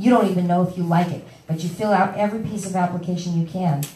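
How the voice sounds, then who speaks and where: A woman talks at a very fast pace. The recording has audible room echo and noticeable background noise. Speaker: workshop presenter sharing housing search experience. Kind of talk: workshop talk.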